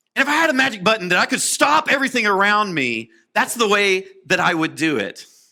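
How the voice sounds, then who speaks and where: An animated man speaks in a raised, projected voice with very wide pitch swings. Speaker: preacher. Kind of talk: sermon.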